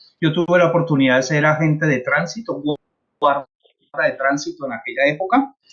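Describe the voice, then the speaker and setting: A man with a plain, everyday voice talks at a fairly quick pace, his fairly high pitch showing ordinary pitch variation. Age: 60s. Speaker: traffic safety trainer, former traffic officer. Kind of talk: consultation meeting.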